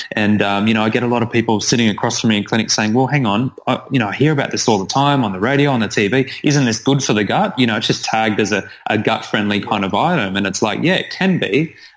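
Over noticeable background noise, a man with an Australian accent talks at a very fast pace with hardly any pauses, a medium pitch, ordinary pitch variation and very even loudness. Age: 30s. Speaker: naturopath. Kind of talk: interview.

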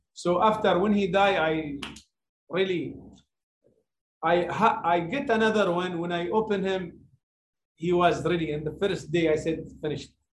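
Speaking with an Arabic accent, a man with a high pitch and ordinary pitch variation moves at a moderate pace, broken by long, frequent pauses. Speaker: heritage centre chief executive. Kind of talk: webinar talk. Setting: video call. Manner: halting.

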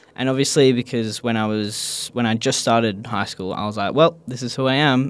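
A man with an Australian accent. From Perth, Australia. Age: 20s. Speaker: skate shop manager and skate instructor. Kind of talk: casual interview.

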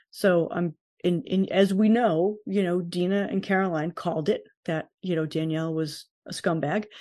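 A woman's medium-pitched, ordinary speaking voice at a fairly slow pace, with ordinary pitch variation and a quiet background. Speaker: podcast co-host. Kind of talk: casual chat.

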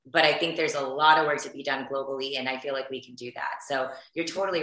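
A woman talks very fast at a very deep, low pitch with fairly even intonation, and the room echo is audible. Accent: American. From US South, Houston, Texas. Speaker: beauty entrepreneur and influencer. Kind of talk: podcast interview.

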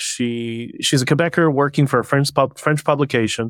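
This unremarkable speaking voice has a Canadian accent and moves at a fairly quick pace. The recording is very clean, over a silent background. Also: man. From Canada. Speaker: protest spokesperson and author. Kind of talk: casual interview.

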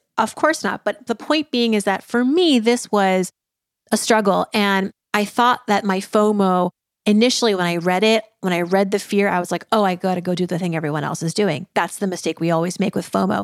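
A woman with an American accent speaks at a fairly quick pace in a normal speaking voice, her pitch medium and its variation ordinary. The recording is very clean with a silent background and a dry, close sound with no echo. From US Northeast (Massachusetts). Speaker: personal finance expert. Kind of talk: interview.

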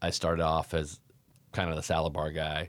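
A man speaks in a Californian accent. The recording is very clean, with a silent background. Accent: Californian American. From Davis, California. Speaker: frozen yogurt shop owner. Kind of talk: interview conversation.

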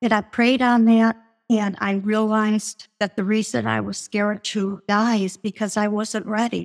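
The voice belongs to a woman. She talks at a medium pitch. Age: 70s. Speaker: author and speaker. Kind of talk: testimony.

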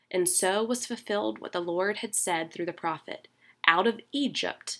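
A woman with an unremarkable speaking voice speaks at a fairly low pitch with lively intonation. The recording is very clean, with a silent background. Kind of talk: scripture reading; devotional talk. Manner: formal, measured, solemn reverent cadence; warm, conversational, earnest.

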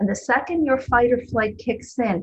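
A woman with an American accent speaks in a normal speaking voice at a moderate pace, her fairly high pitch showing ordinary pitch variation. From New Jersey. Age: 60s. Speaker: twelve-step meeting speaker and sponsor. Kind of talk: recovery talk. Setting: video call.

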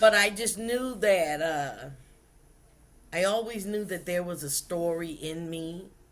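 A woman with a Southern US accent speaks at a fairly slow pace in a fairly low pitch. Audible room echo surrounds her voice. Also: ordinary pitch variation. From US South, South Carolina. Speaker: pastor and author. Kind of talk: interview.

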